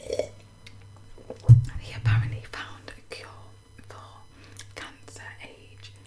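At a very slow pace, a woman is whispering. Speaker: ASMR creator. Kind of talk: casual chatty talk to camera. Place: home room. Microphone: studio mic.

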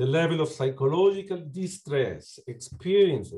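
With a Uruguayan accent, a man speaks at a fairly slow pace in a dark, mellow, somewhat breathy tone, his intonation lively. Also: quiet background. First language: Spanish. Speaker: psychology lecturer and clinician; psychology lecturer. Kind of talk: academic talk. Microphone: video call.

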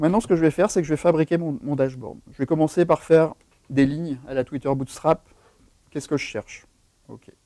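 With a dark, mellow tone, a man talks at a fairly quick pace, leaving long, frequent pauses, his loudness swinging widely in a dry sound with no echo. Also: fairly high pitch for a man, ordinary pitch variation, quiet background. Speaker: software developer advocate giving a tech talk; conference presenter. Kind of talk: tech talk with live demo. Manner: fast. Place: meeting room.

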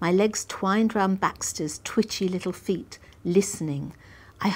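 With ordinary pitch variation, someone reads aloud in a natural voice.

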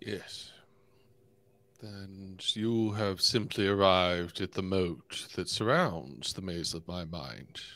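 Using a put-on character voice, a man speaks very slowly at a very deep, low pitch. The recording is very clean, with a silent background. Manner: guarded, formal, wordy.

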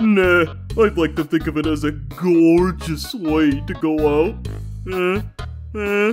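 Putting on a character voice, a man speaks at a fairly slow pace with long, frequent pauses while clear music plays in the background. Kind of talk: comic dub. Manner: laid-back, drawling.

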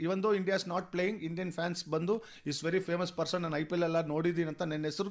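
A high-pitched man with a Telugu accent. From Bengaluru, India. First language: Telugu (speaking Kannada). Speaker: costumed cricket superfan. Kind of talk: radio interview. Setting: radio studio. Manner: animated.

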